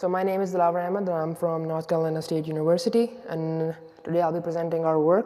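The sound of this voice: A man talks fast in a fairly high pitch, his tone dark and mellow. His intonation stays fairly even over faint background noise.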